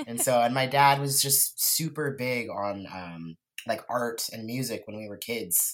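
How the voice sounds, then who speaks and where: On a very clean recording with a silent background, a man with a West Coast US accent speaks at medium pitch and a fairly slow pace, with ordinary pitch variation and big swings in loudness. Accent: General American (West Coast). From California Central Coast. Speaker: artist and musician. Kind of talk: casual interview.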